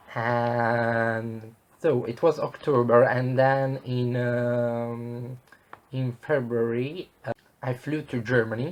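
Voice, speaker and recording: An Italian accent comes through in flat, monotone intonation at a very slow pace. Background noise is noticeable. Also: man, medium pitch for a man. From southern Italy. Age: 20s. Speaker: travel vlogger. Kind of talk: casual vlog monologue. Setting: at home. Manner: hesitant, many fillers.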